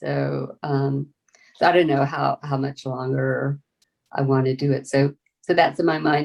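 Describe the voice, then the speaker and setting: With a Southern US accent, a woman is talking. She keeps a fairly slow pace. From US South, rural Florida panhandle. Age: 70s. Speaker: farmer. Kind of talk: interview. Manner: halting, many fillers and restarts.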